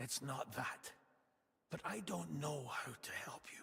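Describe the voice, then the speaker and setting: Using a put-on character voice, a man speaks raspy and at a fairly slow pace in a medium pitch. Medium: video game. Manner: gentle, earnest.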